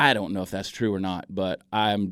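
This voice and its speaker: With an American accent, a man talks at a fairly quick pace. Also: very clean recording, silent background. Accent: Southern accent, muted. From US South, Augusta, Georgia. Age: 40s. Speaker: comedian and social media video creator. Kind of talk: radio interview. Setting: radio studio.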